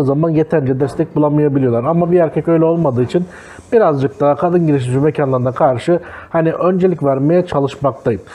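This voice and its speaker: Talking at a very fast pace, a man keeps his loudness very even while his pitch varies in an ordinary way. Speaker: food vlogger. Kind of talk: casual vlog chat. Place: cafe. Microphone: lapel.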